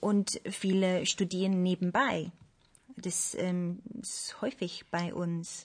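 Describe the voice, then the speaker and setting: A woman's somewhat breathy, medium-pitched voice at a very slow pace, with long, frequent pauses. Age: 30s. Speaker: ballet dancer. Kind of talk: panel discussion. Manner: hesitant, many fillers.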